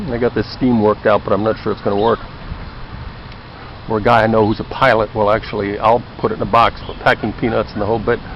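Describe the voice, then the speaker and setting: Over noticeable background noise, a man with a fairly low voice speaks very fast in a monotone, flat delivery. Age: 60s. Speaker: former anthropologist. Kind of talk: casual video talk. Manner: conversational.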